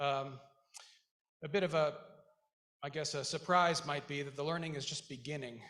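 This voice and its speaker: A man's bright, sharp voice, fairly high in pitch, with a slight Icelandic accent and audible room echo. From Iceland, moved to US very young. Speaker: school board member, Marine veteran, businessman. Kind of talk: commencement speech. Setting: graduation ceremony stage with audience. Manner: halting, with many fillers.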